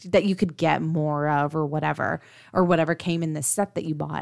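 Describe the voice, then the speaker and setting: A woman's plain, everyday voice at a fairly low pitch and moderate pace, dry and close with no echo, on a very clean recording with a silent background. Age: 30s. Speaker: podcast co-host, mother of three. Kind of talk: casual chat.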